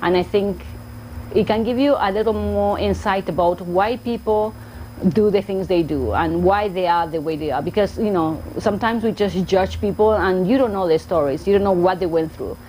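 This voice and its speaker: This woman has a strong Argentine accent and a medium pitch. She talks at a moderate pace with ordinary pitch variation. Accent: thick Argentine Spanish. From Argentina, Buenos Aires. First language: Spanish. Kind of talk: casual vlog talk to camera.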